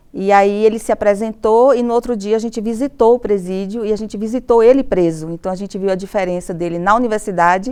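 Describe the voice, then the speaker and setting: A woman with a plain, everyday voice, medium in pitch, with ordinary pitch variation. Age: 50s. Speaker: university professor. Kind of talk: interview testimony.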